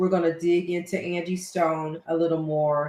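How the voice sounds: This woman's voice sits low in pitch and has a slightly mellow tone. She talks at a moderate pace with little pitch movement.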